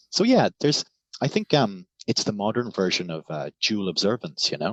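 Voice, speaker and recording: With a Cork accent, a man talks at a moderate pace in a fairly low pitch, his intonation lively. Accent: Irish (Cork). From Ireland, Cork. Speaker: scholar and writer. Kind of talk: casual interview chat.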